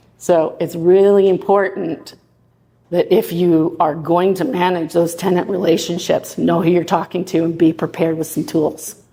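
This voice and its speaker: Fairly low in pitch, a woman's voice carries a dark, mellow tone. She keeps a moderate pace and fairly even intonation. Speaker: property manager. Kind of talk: presentation. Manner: loud.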